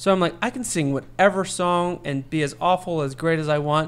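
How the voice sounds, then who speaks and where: Moving at a moderate pace, a man with an American accent speaks in a plain, everyday voice. His pitch is fairly high and varies in an ordinary way. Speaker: podcast host. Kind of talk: casual chat.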